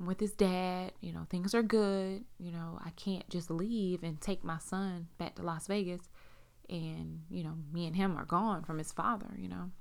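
This woman has a normal speaking voice, fairly low in pitch with fairly even intonation. The recording is very clean and the background silent. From South Carolina, US. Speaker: podcast host. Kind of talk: personal testimony. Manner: casual, many fillers.

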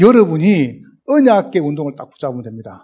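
With a strong Gyeongsang accent, a man speaks at a moderate pace in a high pitch with a dark, mellow tone. His voice makes very wide pitch swings. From South Korea, Gyeongsang region. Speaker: pastor, guest preacher. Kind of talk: sermon. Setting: church. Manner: speeds up as sermon goes on.

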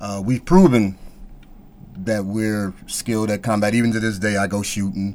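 In a normal speaking voice, a man talks at a moderate pace with a fairly low pitch and fairly even intonation. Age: 50s. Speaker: martial arts instructor. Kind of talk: casual chat.

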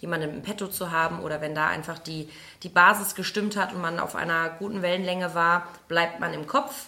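A woman talks at a fairly low pitch and a fairly quick pace with fairly even intonation. Noticeable background noise can be heard. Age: 30s. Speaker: physiotherapist and practice owner. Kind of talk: interview. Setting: in person at a fitness studio.

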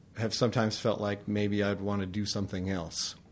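With a Californian accent, a man talks at a moderate pace in a fairly low pitch. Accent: Californian American. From California (Tehachapi). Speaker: pastor. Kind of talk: interview.

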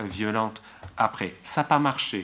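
At a very slow pace, a man talks with fairly even intonation. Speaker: political scientist. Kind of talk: academic talk. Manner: slow, searching for words.

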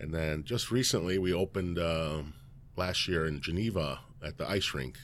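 Speaking in a Chicago accent, a man has a very deep, low pitch. His pace is moderate and his pitch variation ordinary. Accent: Chicago-area American. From US Midwest, Elgin, Illinois. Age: 50s. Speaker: restaurant owner. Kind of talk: casual interview.

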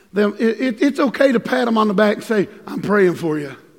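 Over noticeable background noise, a man with a high pitch speaks in an animated tone at a moderate pace with lively intonation. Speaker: pastor. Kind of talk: sermon. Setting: church. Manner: animated, preacherly.

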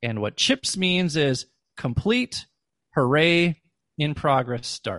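Against a quiet background with a dry, close sound and no echo, a man with an American accent speaks at a very slow pace with long, frequent pauses, his fairly high voice making very wide pitch swings. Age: 40s. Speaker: former educator and podcast host. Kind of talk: interview.

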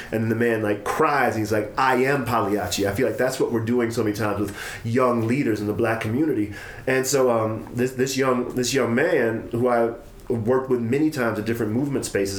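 Fairly quick and fairly even in intonation, a man talks at medium pitch in an unremarkable speaking voice. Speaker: podcast host. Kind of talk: casual conversation.

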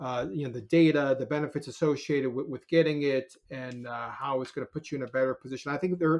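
With an American accent, a man talks very fast, with hardly any pauses. His voice is fairly high and his intonation fairly even. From New York City area, Scarsdale suburb. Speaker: corporate lawyer. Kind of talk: interview conversation. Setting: podcast recording. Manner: halting, many repetitions and fillers.

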